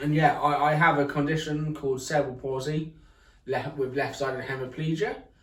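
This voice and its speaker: With audible room echo and noticeable background noise, a man talks at a fairly quick pace in a fairly high voice with fairly even intonation. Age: 20s. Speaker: accessibility vlogger. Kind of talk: casual chat. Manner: hesitant, many fillers.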